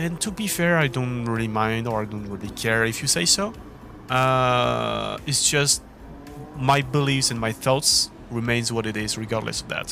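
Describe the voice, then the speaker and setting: A man speaks in a French accent at a moderate pace and medium pitch. Noticeable background noise runs behind him. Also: ordinary pitch variation. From France. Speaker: esports racing gamer, video creator. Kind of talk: opinion monologue. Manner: hesitant with many fillers.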